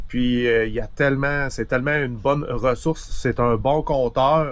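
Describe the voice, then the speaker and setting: This man has a normal speaking voice at a medium pitch, talking at a fairly slow pace with very even loudness and hardly any pauses. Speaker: video host. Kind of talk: interview. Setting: outdoors.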